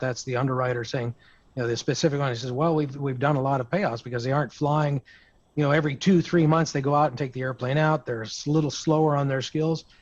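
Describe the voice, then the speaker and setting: A man speaks at a very fast pace. His intonation is fairly even, and the background is quiet. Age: 60s. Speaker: aviation insurance broker. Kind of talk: roundtable discussion. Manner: halting.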